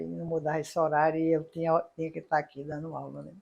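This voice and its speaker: Talking at a fairly quick clip, a woman uses a very deep, low pitch and a monotone, flat intonation. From Paraíba, Brazil. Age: 60s. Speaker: engineering professor. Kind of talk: interview. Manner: halting.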